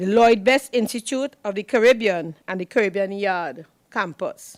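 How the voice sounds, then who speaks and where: In a plain, everyday voice, a woman with a fairly high pitch speaks at a moderate pace with lively intonation, the sound dry and close with no echo. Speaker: moderator introducing panellists. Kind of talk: formal introductions of speakers. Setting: room with audience, streamed online.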